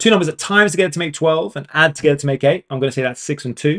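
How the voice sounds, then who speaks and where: This man speaks with a British accent. His intonation is lively. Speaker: maths tutor. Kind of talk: live online tutorial. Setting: livestream. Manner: fast.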